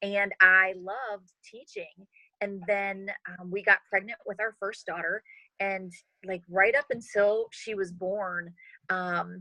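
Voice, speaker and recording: At a very slow pace, a woman with medium pitch and a bright, sharp tone speaks with fairly even intonation and big swings in loudness, in a dry, close sound with no echo. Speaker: network marketing leader. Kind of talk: interview. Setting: video call.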